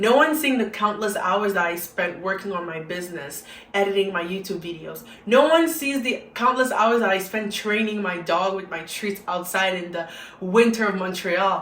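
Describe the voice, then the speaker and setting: Over noticeable background noise and audible room echo, a woman with a medium pitch talks at a moderate pace with lively intonation. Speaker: YouTuber, motivational vlogger. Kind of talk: motivational monologue. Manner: animated.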